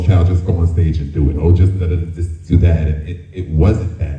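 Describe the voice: Over audible room echo, a man speaks at a moderate pace in a low pitch with fairly even intonation.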